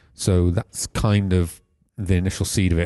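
In a South Wales accent, a man speaks at a very deep, low pitch with a dark, mellow tone and fairly even intonation, the sound dry and close with no echo. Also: quiet background. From South Wales (Pontypool, Cwmbran). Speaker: film director. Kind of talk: casual interview.

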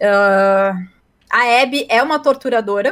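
A woman's fairly high pitch shifts in an ordinary way as she talks in an ordinary speaking voice. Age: 20s. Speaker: advertising professional and streamer. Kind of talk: casual chat.

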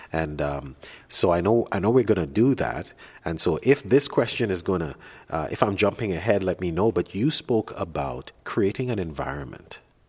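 A man's very deep, low voice with vocal fry, very wide pitch swings and a moderate pace, on a very clean recording with a silent background. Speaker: podcast host. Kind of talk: interview. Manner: halting, many fillers.

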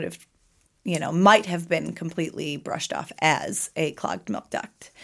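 Vocal fry marks this woman's fairly low voice, heard at a moderate pace with ordinary pitch variation on a very clean recording with a silent background. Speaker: breast cancer survivor. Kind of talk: personal testimony. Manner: halting.

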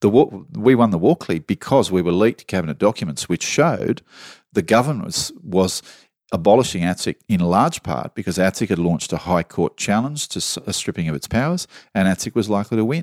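A man with an Australian accent talks at a very fast pace, his fairly low pitch making very wide swings. The recording is very clean and dry, close with no echo, over a silent background. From Australia, southwestern Sydney. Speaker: journalist. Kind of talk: casual chat.

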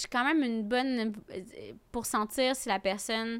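The speaker is a woman. Her recording is very clean, and the background is silent. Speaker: comedian. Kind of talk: casual chat.

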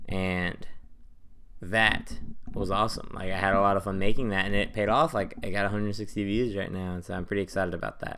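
The tone of this man's voice is bright and sharp. His intonation stays fairly even. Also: fairly low pitch for a man, fairly quick pace. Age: 20s. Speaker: aspiring YouTuber, college student. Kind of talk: solo podcast monologue. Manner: casual, filler-heavy.

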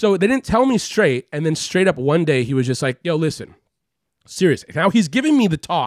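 High male voice in an American accent, moderate in pace with very wide pitch swings, dry and close with no echo, on a very clean recording with a silent background. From Los Angeles, California (Beverly Hills). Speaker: podcast guest. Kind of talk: casual chat.

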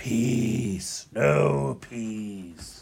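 A man puts on a character voice. His pitch sits fairly low. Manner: menacing.

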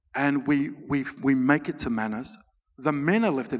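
With an Australian accent, a man speaks at a fairly high pitch. His pitch variation is ordinary. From Australia (Melbourne), Greek family. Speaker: refugee advocate and author. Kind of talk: festival talk, interview on stage.

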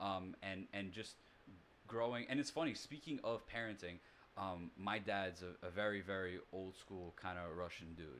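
Spoken in an American accent at a moderate pace, this is an ordinary speaking voice with ordinary pitch variation. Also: man, fairly low pitch for a man. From New York City. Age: 30s. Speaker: singer-songwriter. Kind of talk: casual chat.

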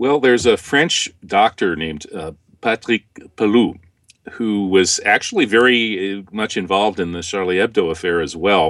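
A man with an American accent and fairly low pitch, ordinary pitch variation, a moderate pace and an unremarkable speaking voice. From US Midwest. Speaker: author and former lecturer. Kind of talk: interview.

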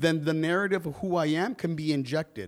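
A man with an American accent, fairly high pitch and ordinary pitch variation, on a very clean recording with a silent background. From US West Coast, East Los Angeles. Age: 40s. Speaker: school equity specialist. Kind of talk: interview.

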